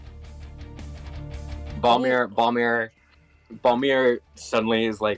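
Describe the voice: Fairly even intonation in plain reading aloud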